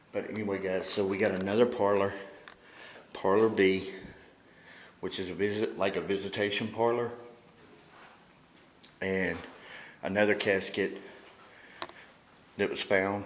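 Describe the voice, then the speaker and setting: This man talks at a moderate pace with a fairly low pitch and monotone, flat intonation, leaving long, frequent pauses amid audible room echo and light background noise. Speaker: paranormal investigator host. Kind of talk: walkthrough tour commentary. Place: hall. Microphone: phone near.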